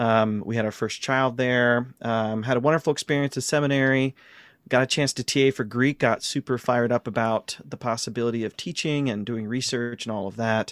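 A man with a medium pitch talks at a fairly quick pace with fairly even intonation. The sound is dry and close with no echo, on a very clean recording with a silent background. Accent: American. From US Midwest, Ohio. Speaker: New Testament professor. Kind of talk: casual interview.

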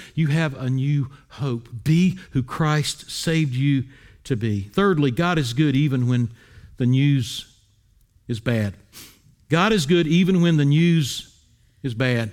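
A man with an American accent and a fairly high pitch speaks very slowly, leaving long, frequent pauses, with ordinary pitch variation. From US South, Wilmington, North Carolina. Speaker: pastor. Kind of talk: sermon.

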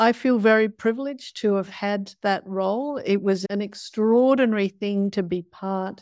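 Ordinary pitch variation and a moderate pace in an Australian accent, with a dry, close sound and no echo. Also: woman. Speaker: ecology professor and climate scientist. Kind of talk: interview.

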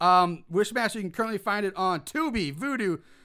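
Projecting a raised voice, a man speaks fairly quickly with lively intonation, a high pitch and a bright, sharp tone, captured in a very clean recording with a silent background. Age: 40s. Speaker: podcast host. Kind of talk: casual chat.

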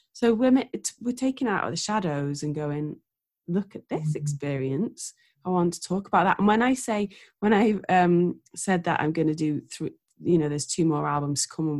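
A woman with an ordinary speaking voice talks at a moderate pace in a fairly low pitch. Her intonation is lively. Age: 40s. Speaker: singer-songwriter. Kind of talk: casual chat.

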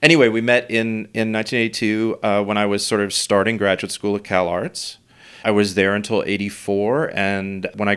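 A man with a fairly low voice and an American accent speaks in an unremarkable speaking voice. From New York City. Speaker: visual artist. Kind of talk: casual chat.

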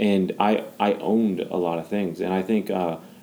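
With ordinary pitch variation and a fairly low pitch, a man talks in an unremarkable speaking voice. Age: 20s. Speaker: founder of a young adult ministry. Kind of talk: casual chat.

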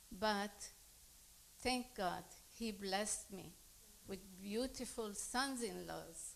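A fairly high-pitched woman's voice with a Lebanese accent and ordinary pitch variation. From Lebanon. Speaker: immigrant congregant. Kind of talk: testimony.

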